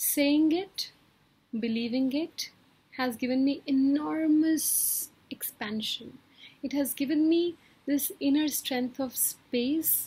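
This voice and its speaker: A woman speaks very slowly in a high pitch with a dark, mellow tone. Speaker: wellbeing coach. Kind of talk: motivational talk. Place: home room. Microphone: webcam.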